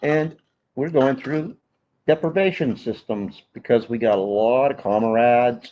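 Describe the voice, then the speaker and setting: In an American accent, a man speaks with an unremarkable speaking voice at medium pitch. His pace is fairly slow and his pitch variation ordinary. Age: 60s. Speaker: veteran local angler. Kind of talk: casual chat on live stream. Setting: in the store, live stream.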